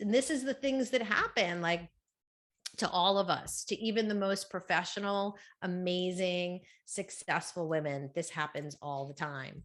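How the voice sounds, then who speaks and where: A woman speaks at a moderate pace in an animated tone, her medium-pitched voice carrying lively intonation. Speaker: book coach and speaker. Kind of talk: conference talk. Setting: stage with audience. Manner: loud.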